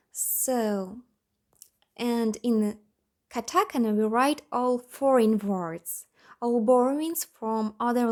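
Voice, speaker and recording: Captured in a very clean recording with a silent background, a woman with a non-native accent speaks at a very slow pace in a fairly high pitch with ordinary pitch variation. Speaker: language learning youtuber. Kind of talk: tutorial. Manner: halting.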